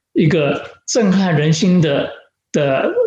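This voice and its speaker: Amid audible room echo, a man speaks with lively intonation. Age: 70s. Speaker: pastor. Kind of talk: sermon. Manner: halting with fillers.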